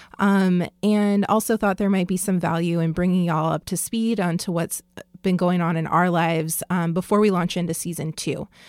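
A woman uses an ordinary speaking voice, fairly low in pitch with fairly even intonation, at a moderate pace. The recording is very clean with a silent background. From Southern California. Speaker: podcast co-host, professor. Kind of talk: casual chat.

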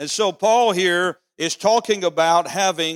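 A high-pitched male voice on a very clean recording with a silent background. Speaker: pastor. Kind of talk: sermon. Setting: church. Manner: animated, emphatic preacher; repeats phrases for emphasis, seeks congregation's 'Amen'.

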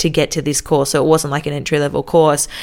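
Her voice sits very deep and low. The woman has an Australian accent. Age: 20s. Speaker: radio announcer and podcaster. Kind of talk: solo podcast monologue. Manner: casual, upbeat.

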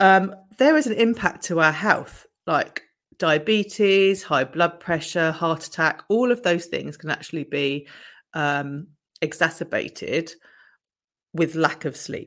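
On a very clean recording with a silent background, a woman speaks fairly slowly with a fairly low pitch. Hers is a plain, everyday voice with ordinary pitch variation. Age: 50s. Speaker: wellness podcaster and coach. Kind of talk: casual solo talk. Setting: video recording.

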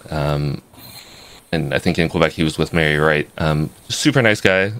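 Speaking at a fairly quick pace, a man uses a very deep, low pitch. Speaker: podcast co-host. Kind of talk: casual chat. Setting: live stream.

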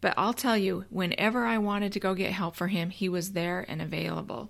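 Here a woman speaks at a fairly quick pace, medium in pitch with ordinary pitch variation. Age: 50s. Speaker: podcast host and teacher. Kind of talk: motivational solo podcast talk. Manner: conversational, frequent um fillers.

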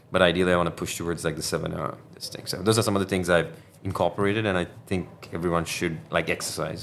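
Fairly even intonation comes at a very fast pace over noticeable background noise. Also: man. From Sri Lanka. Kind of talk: interview. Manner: filler-heavy conversational.

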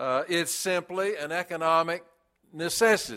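On a very clean recording with a silent background, a man speaks at a high pitch. His tone is bright and sharp, and his pace is fairly slow. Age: 70s. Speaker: pastor. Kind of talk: sermon. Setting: church.

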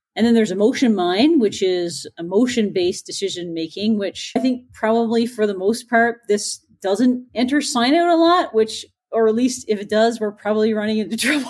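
A woman speaks in a plain, everyday voice, pitched fairly high. Her intonation is lively. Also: moderate pace. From Newfoundland, Canada. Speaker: pathologist and assistant professor. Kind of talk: casual interview.

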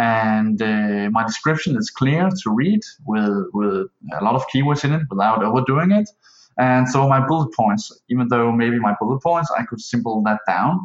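Using lively intonation, a man with a Danish accent speaks at medium pitch and a moderate pace. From Denmark. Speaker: online seller asking a question. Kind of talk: recorded voicemail question. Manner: hesitant.

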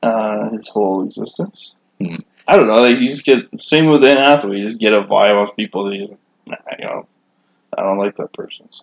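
A man has an ordinary speaking voice at a medium pitch, with ordinary pitch variation. He moves at a fairly quick pace with big swings in loudness. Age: 30s. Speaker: podcast co-host. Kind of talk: casual chat.

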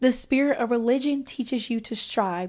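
A woman with a Southern US accent speaks at a moderate pace in a fairly high pitch, her pitch varying in an ordinary way, on a very clean recording with a silent background. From US Deep South. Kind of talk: religious teaching monologue.

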